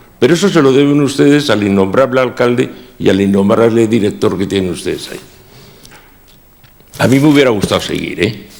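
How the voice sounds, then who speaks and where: Talking at a fairly quick clip with long, frequent pauses, a man with a medium-pitched voice is heard over noticeable background noise and audible room echo. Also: lively intonation. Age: 60s. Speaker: former municipal chief architect. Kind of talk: testimony at a council inquiry. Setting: council committee hearing.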